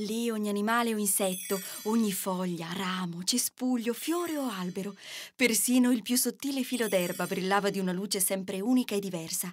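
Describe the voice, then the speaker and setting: With lively intonation and a fairly quick pace, a woman talks in a normal speaking voice. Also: very clean recording, silent background. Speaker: voice actor. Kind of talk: children's fairy tale narration.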